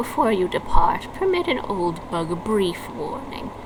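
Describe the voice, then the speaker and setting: A woman puts on a character voice, fairly high in pitch, speaking at a moderate pace over loud background noise. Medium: game stream.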